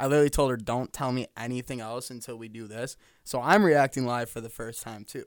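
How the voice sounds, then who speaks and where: A man speaks very fast at a medium pitch with fairly even intonation and big swings in loudness. The recording is very clean, with a silent background. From western New York. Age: 20s. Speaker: podcast co-host. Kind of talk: casual chat. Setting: studio.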